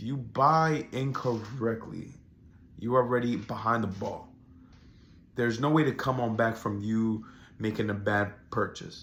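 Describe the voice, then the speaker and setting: This man talks at a fairly slow pace with long, frequent pauses. His pitch is medium and his intonation fairly even. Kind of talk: casual talk to camera.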